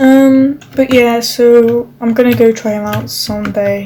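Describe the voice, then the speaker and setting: A non-native accent with fairly even intonation, over noticeable background noise. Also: woman. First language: not English. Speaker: gaming vlogger. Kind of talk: casual chat. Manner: halting.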